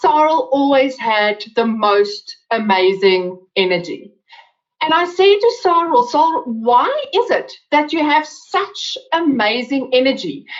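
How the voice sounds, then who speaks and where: At a very slow pace, a woman in an Afrikaans accent keeps very even loudness while her high pitch swings very widely. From South Africa. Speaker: webinar presenter. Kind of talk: webinar talk. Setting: online webinar.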